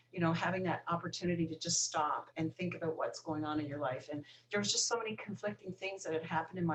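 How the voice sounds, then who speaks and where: At a very fast pace, a woman speaks in a fairly low pitch. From Newfoundland, Canada. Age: 50s. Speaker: recovering alcoholic. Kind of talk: podcast interview.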